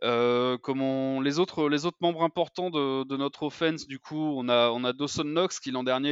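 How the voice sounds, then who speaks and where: A man with an unremarkable speaking voice talks at a fairly slow pace. His pitch sits in the medium range, with fairly even intonation. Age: 20s. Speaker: American football fan account runner. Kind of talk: casual chat.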